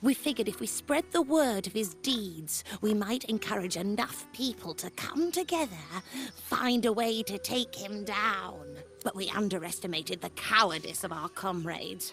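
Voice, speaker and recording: Over clear background music, a female-sounding voice at a medium pitch does a put-on character voice at a moderate pace. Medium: video game. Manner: polite, mild, self-deprecating.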